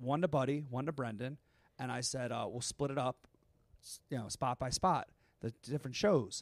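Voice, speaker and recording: In a dry, close sound with no echo, a man with an unremarkable speaking voice talks at a moderate pace and medium pitch, with ordinary pitch variation. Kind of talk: casual chat. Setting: live show with audience.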